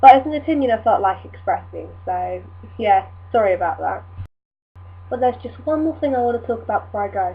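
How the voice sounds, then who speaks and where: A woman with an English accent talks at a fairly quick pace, leaving long, frequent pauses. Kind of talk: casual talk to camera.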